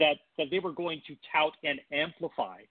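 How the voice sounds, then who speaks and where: A man with an American accent talks at a moderate pace and a high pitch. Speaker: political operative and data analyst. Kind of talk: political talk radio interview.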